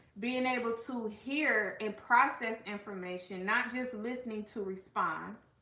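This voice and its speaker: Against noticeable background noise, a woman with a fairly high voice and an animated tone speaks at a fairly slow pace, with ordinary pitch variation. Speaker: life coach and channel host. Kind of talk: casual livestream talk. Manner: loud.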